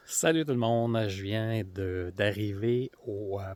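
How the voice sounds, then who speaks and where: Very slow pace from a man with a Quebec accent, fairly low pitch and fairly even intonation. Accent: Québécois French. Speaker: outdoor vlogger. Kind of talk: casual vlog narration. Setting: outdoors. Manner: hesitant, many fillers.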